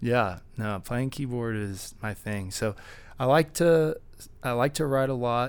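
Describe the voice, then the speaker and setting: A man with an American accent and an unremarkable speaking voice talks at a fairly slow pace and medium pitch. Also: ordinary pitch variation. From Texas, Dallas. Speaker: DJ and music producer. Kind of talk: casual interview chat. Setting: at a music festival.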